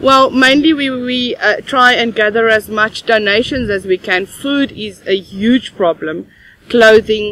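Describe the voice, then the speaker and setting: A woman talks at a fairly slow pace with ordinary pitch variation, the sound dry with no echo. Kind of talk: interview answer. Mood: earnest, concerned. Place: open country.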